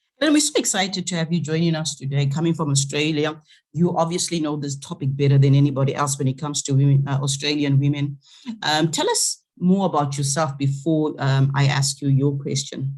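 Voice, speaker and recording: Speaking at a fairly quick pace, a woman with a very deep, low voice sounds somewhat breathy, her intonation monotone and flat while her loudness swings widely. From Zimbabwe. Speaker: conference host. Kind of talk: online conference moderation.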